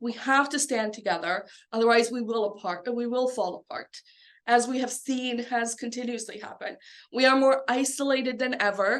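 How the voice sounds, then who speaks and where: A woman's high-pitched voice at a moderate pace, with fairly even intonation. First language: Bosnian or another South Slavic language. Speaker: genocide educator and researcher. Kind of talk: public speech. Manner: impassioned.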